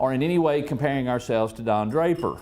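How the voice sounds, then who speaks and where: With an American accent, a man speaks at a fairly high pitch. His tone is dark and mellow, and his intonation is lively. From US South, East Tennessee. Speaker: political media consultant. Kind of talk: speech. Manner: halting.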